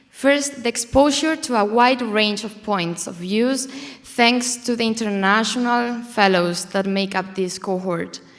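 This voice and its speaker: Noticeable background noise beneath a woman's fairly slow speech. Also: fairly high pitch for a woman, ordinary pitch variation. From southern Spain (Córdoba). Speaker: student fellow. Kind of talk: prepared speech.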